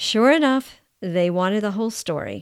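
A plain, everyday voice from a woman, fairly high-pitched with lively intonation at a moderate pace, on a very clean recording with a silent background and a dry, close sound with no echo. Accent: American. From United States. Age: 60s. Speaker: podcast host. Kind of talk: personal storytelling monologue.

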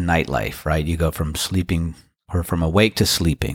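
A man with an American accent speaks in a relaxed tone. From US, Washington DC. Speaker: podcast host and musician. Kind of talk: casual solo monologue.

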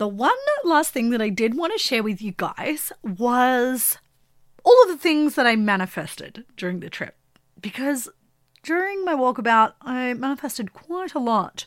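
On a very clean recording with a silent background, a woman talks at a moderate pace in a high pitch that swings very widely. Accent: Australian. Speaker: podcast host. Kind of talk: solo monologue about spiritual topics.

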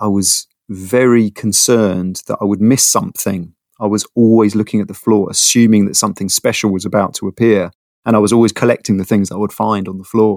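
A speaker with a London accent talks at a fairly quick pace in a monotone, flat intonation. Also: man, fairly low pitch for a man, dry, close sound with no echo. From London, North London. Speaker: product designer. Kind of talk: casual interview. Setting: internet call.

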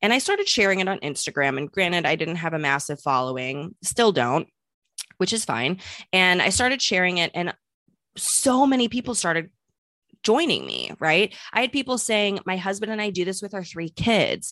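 A woman with an American accent speaks at medium pitch with lively intonation. Her tone is bright and sharp, and the sound is dry and close with no echo. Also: quiet background. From US Midwest, St. Louis. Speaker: business consultant and entrepreneur. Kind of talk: interview.

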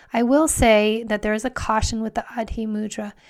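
A woman speaks in a plain, everyday voice at a fairly high pitch, with fairly even intonation. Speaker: meditation podcast host. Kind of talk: guided meditation with gentle spoken instructions. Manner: slow, soothing, softly inviting pacing with breath cues; warm, affirming, with occasional ums.

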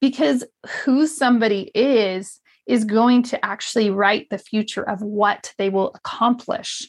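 A fairly high-pitched woman's voice, fairly slow and animated, with ordinary pitch variation. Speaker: podcast host and multifamily real estate investor. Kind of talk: solo podcast monologue. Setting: home studio.

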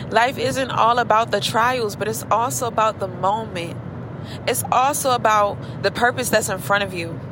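Amid noticeable background noise, a woman with a fairly high pitch speaks at a moderate pace in a warm, animated tone with very wide pitch swings. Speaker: beauty professional podcaster. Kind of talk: pep talk; casual chat. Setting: in a car while driving. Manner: warm, animated, preacher-like encouragement; unscripted, conversational, chatty.

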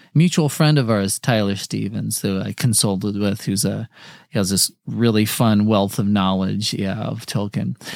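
A man speaks in a fairly low voice at a moderate pace. The recording is very clean, with a silent background. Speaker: comedian podcast host. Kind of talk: casual comedic banter about a book. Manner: joking, animated.

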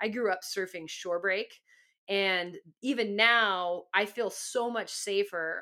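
The recording is very clean with a silent background, and a woman speaks in a Californian accent with a bright, sharp tone. Her voice is animated, at a medium pitch with ordinary pitch variation. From Southern California. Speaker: podcast host, former pro surfer. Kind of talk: storytelling monologue.

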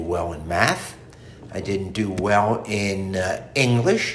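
A man with an American accent, fairly low in pitch, very slow, with ordinary pitch variation. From southern New Jersey, US. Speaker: interviewee, retired manufacturer. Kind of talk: casual interview.

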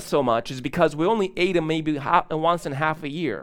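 The speech is very fast with lively intonation. It comes on a very clean recording with a silent background. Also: man. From grew up in a third world country, immigrated. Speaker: pastor. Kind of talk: sermon. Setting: church.

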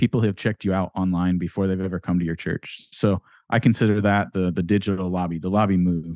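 A man with an American accent, a very deep, low pitch and a dark, mellow tone, speaking at a very fast pace with monotone, flat intonation, the sound dry and close with no echo over a quiet background. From rural Ohio, later Florida. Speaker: church tech consultant. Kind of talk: interview. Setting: video call.

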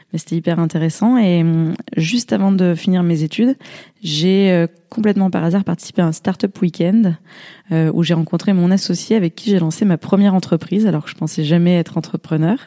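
With a dark, mellow tone and fairly low pitch, a woman talks at a fairly quick pace, her loudness very even, her pitch varying in an ordinary way, the sound dry and close with no echo. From southern France, Drôme. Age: 30s. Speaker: startup co-founder. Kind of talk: interview.

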